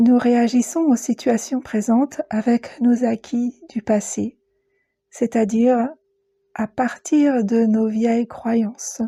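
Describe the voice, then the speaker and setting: A woman with a fairly high pitch talks very slowly in a calm, soothing tone that is also dark and mellow, her intonation fairly even. The recording is very clean with a silent background, and the sound is dry and close with no echo. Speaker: guided meditation teacher and psycho-energy practitioner. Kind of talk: guided meditation podcast. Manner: calm, soothing, slow.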